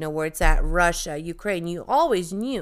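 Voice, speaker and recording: A woman with a slight Bosnian accent talks at a fairly quick pace in an animated tone. The recording is very clean with a silent background. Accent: light Bosnian accent in American English. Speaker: podcast co-host. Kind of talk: casual chat.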